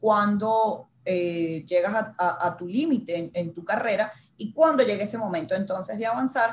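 A woman in a Venezuelan accent, medium pitch, at a moderate pace. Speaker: marketing and communications manager, former TV journalist. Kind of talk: casual interview.

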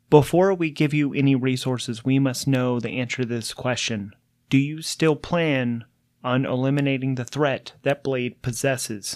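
A man's put-on, robotic character voice at medium pitch and a moderate pace. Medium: actual play. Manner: flat, terse, clinical.

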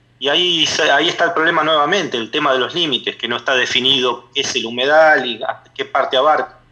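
A man talking at a very fast pace at a fairly high pitch with fairly even intonation, amid noticeable background noise. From Argentina, La Plata area. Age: 30s. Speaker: neighborhood activist. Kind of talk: radio interview. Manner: halting.

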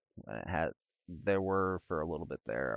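This man speaks with an Upper Midwest accent in a very deep, low pitch, with vocal fry. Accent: Upper Midwest American, nasal. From US Midwest, northern Illinois. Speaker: podcast host. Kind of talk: casual solo chat. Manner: rambling, many fillers.

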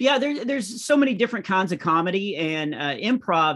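In an American accent, a man speaks with very wide pitch swings over a quiet background. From small-town US. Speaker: comedian. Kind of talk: interview.

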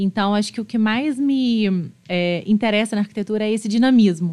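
A woman speaks in a normal speaking voice at a moderate pace, her fairly high pitch showing ordinary variation against a quiet background. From Minas Gerais, Juiz de Fora. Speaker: architect. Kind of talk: casual interview.

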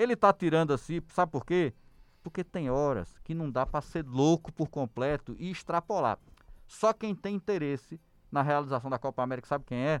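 An ordinary speaking voice moves at a moderate pace with lively intonation, recorded dry and close with no echo against a quiet background. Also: man, fairly high pitch for a man. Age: 40s. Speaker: podcast co-host. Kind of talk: political debate chat.

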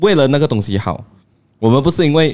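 A man races along at a very fast pace, his pitch swinging very widely. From Penang, Malaysia. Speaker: YouTuber. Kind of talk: casual chat. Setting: cafe.

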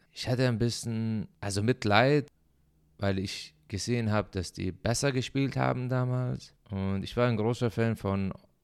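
In a very clean recording with a silent background, a man speaks with an Arabic accent. His pace is fairly slow, and his pitch varies in an ordinary way. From Syria. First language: Arabic (speaking German). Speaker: podcaster. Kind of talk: personal monologue. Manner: halting.

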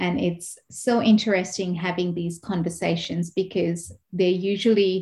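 The intonation stays fairly even in this somewhat breathy voice. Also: woman. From Kenya. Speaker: speech and language pathologist. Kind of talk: interview.

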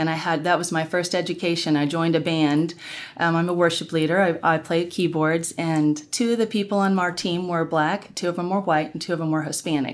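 A woman with a plain, everyday voice and an American accent talks at a fairly quick pace with hardly any pauses, fairly low in pitch, with fairly even intonation. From Oklahoma (Norman). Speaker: worship musician and race-dialogue event organizer. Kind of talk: interview conversation.

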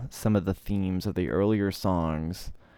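Dark, mellow tones carry fairly even intonation in a very clean recording with a silent background. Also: man. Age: 20s. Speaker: podcast host and music reviewer. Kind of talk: album review monologue. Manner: casual with many filler words.

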